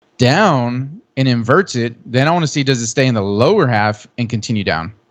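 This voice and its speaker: An ordinary speaking voice with lively intonation. The background is quiet. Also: man. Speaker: day trader. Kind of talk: live trading commentary.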